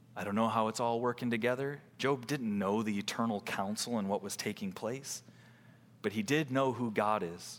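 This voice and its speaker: In a plain, everyday voice, a man speaks at medium pitch and a moderate pace with ordinary pitch variation. The recording is very clean, with a silent background. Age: 30s. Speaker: pastor. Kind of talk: sermon.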